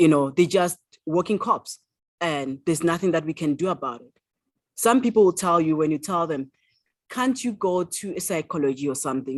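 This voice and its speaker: On a very clean recording with a silent background, a woman with a South African accent and fairly low pitch talks at a fairly quick pace. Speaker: author. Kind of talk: interview answer.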